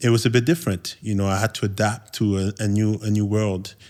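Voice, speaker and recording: The recording is very clean, with a silent background. A man with a Quebec accent speaks at a fairly quick pace in a fairly low pitch. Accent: Quebec French accent, still present. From Quebec, Montreal. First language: French. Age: 30s. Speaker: podcast host. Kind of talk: podcast conversation, personal story. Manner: halting, many repetitions.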